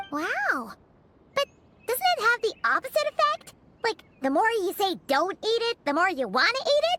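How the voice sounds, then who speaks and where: A put-on character voice at an extremely high pitch swings very widely in pitch. It moves at a moderate pace with music in the background. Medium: video game.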